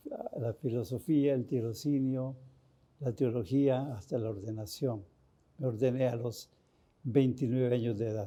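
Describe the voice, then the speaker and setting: A man's dark, mellow voice sits at a medium pitch, moving at a fairly slow pace with fairly even intonation. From Costa Rica, rural village. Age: 80s+. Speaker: priest. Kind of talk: interview testimony. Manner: halting.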